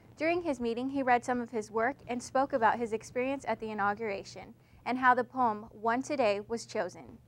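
At a fairly quick pace, a woman with an unremarkable speaking voice talks in a fairly high pitch with ordinary pitch variation. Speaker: student reporter. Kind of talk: scripted newsreading.

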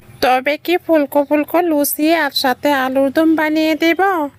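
Using a cartoonish character voice, a woman speaks at a high pitch with monotone, flat intonation and very even loudness. Her pace is fairly slow, and the sound is dry and close with no echo. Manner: deferential.

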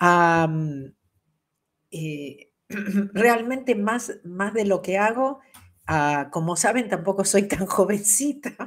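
The speaker goes at a very slow pace with long, frequent pauses. The intonation is lively. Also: woman, medium pitch for a woman. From Argentina. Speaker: spiritual teacher. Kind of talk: livestream talk. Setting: livestream. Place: home room.

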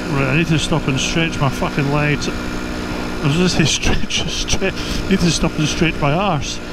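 A man with a Scottish accent at a fairly slow pace, hardly any pauses, audible room echo and noticeable background noise. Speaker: motorcycle vlogger. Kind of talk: casual monologue. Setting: outdoors on a motorbike.

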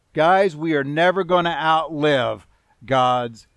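With an American accent, a man talks very slowly and with ordinary pitch variation, in a dry sound with no echo against a quiet background. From US South. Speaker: pastor. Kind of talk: sermon. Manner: halting. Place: open country. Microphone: headset.

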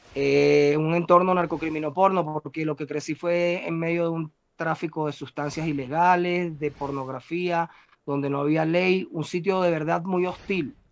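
A man's fairly high voice in a Caracas Venezuelan accent, with monotone, flat intonation. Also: fairly slow pace. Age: 40s. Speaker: rapper; interviewee. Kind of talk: interview. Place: home room. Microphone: video call.

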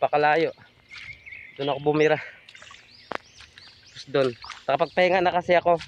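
Noticeable background noise surrounds a man speaking at a moderate pace. His intonation is fairly even, and the sound is dry and close with no echo. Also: fairly high pitch for a man. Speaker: hunting vlogger. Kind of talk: vlog narration. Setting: outdoors.

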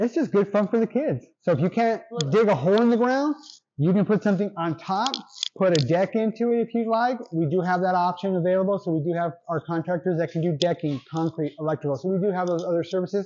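Here a man talks very fast in a high voice with a dark, mellow tone and ordinary pitch variation. Light background noise can be heard. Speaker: presenter. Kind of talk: product presentation. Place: shop.

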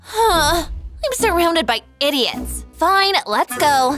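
A cartoonish character voice talks at a very slow pace and a high pitch. Faint music plays in the background. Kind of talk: cartoon comic acting. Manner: sarcastic, exasperated.

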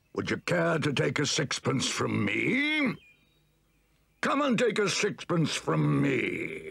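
Using a put-on character voice, a man growls at a fairly slow pace, keeping his loudness very even. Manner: stern, dignified.

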